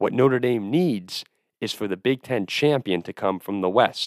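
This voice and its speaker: With an American accent, a man speaks in an animated tone at a moderate pace. The recording is very clean, with a silent background and a dry, close sound with no echo. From New Jersey. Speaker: sports podcast host. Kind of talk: solo sports analysis monologue.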